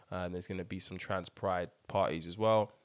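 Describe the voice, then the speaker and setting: On a very clean recording with a silent background, a man speaks at a fairly quick pace in a very deep, low voice. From Ireland (Dublin), Nigerian heritage. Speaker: podcast co-host. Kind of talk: casual chat; news summary.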